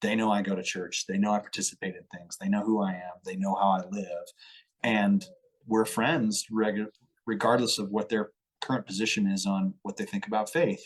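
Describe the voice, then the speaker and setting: In a normal speaking voice with an American accent, a man talks at a fairly low pitch and a moderate pace with fairly even intonation. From Colorado. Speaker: entrepreneur and musician. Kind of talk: podcast interview. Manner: casual, conversational.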